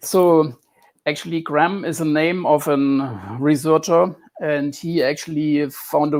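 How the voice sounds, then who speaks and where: Here a man speaks with a strong German accent. His pitch is fairly high, and his intonation stays fairly even. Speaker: computer scientist discussing health theory. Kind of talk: interview. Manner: halting, repeats words.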